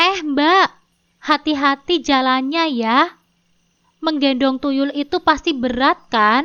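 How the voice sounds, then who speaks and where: In a put-on character voice, a woman speaks shrill and high-pitched at a fairly slow pace. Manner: loud, mocking, provocative.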